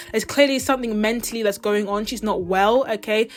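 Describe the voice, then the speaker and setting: Music plays in the background as the speaker talks at a fairly quick pace. The delivery is in a British accent with ordinary pitch variation. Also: woman. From Britain. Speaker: pop culture YouTuber. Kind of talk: casual commentary vlog. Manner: chatty, fast.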